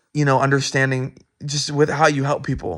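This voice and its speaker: The pace of this man's speech is moderate, and his pitch is medium. Behind him, the background is quiet. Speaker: student. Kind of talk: recorded answers to course discussion questions. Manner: halting, many fillers and restarts; loud.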